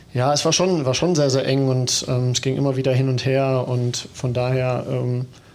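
Audible room echo surrounds a man who speaks at a moderate pace with fairly even intonation. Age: 30s. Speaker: footballer. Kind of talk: casual chat.

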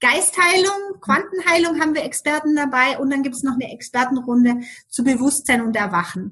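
With a bright, sharp tone and high pitch, a woman speaks at a moderate pace with lively intonation. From Germany. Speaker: business coach. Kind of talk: interview.

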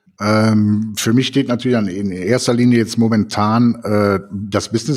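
It moves along at a moderate tempo. This is a normal speaking voice. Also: man. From Cologne. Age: 50s. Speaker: photographer and podcast co-host. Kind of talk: casual chat.

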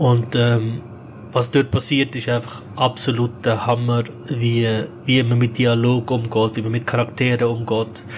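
Over noticeable background noise, a man talks at a fairly slow pace in a medium pitch with a flat, monotone delivery. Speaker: podcast co-host. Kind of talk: casual chat.

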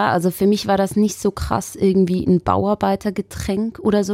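Dry and close with no echo, a woman's medium-pitched voice has a dark, mellow tone, fairly even intonation and a moderate pace. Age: 20s. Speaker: podcast host, journalist. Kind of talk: casual chat.

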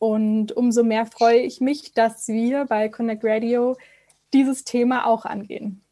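At a very slow pace, a woman speaks in a dark, mellow tone with monotone, flat intonation. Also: fairly high pitch for a woman. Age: 20s. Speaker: radio co-host. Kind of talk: casual chat. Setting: video call.

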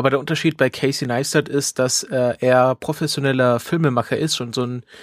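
A man talks at a fairly quick pace and a medium pitch. The sound is dry and close, with no echo. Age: 30s. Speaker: podcast host. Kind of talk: casual chat.

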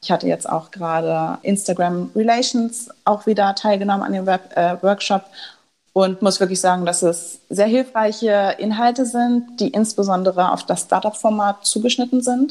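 A woman has a normal speaking voice at medium pitch. She talks at a moderate pace with ordinary pitch variation. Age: 20s. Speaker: startup founder. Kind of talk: interview.

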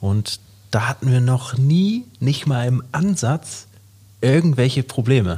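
With a dark, mellow tone and a somewhat breathy quality, a man speaks at a very slow pace with medium pitch, very even loudness, and lively intonation. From Hamburg, northern Germany. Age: 30s. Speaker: entrepreneur and podcast co-host. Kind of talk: casual chat.

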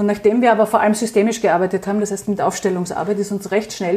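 A woman's voice at medium pitch. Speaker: psychological counsellor and resilience coach. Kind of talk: interview.

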